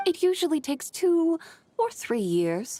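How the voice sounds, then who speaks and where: In a put-on character voice, a female-sounding speaker goes squeaky and extremely high-pitched at a moderate pace. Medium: video game. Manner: eloquent, composed, refined.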